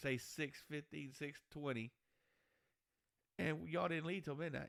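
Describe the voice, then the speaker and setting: A man with a Texan accent speaks in a fairly high voice. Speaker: podcast co-host. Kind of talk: casual chat.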